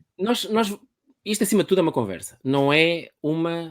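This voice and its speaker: With a European Portuguese accent, a man speaks at a moderate pace and a high pitch, his intonation lively. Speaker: podcast host, public speaking trainer. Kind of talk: casual interview via live stream. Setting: live online video stream.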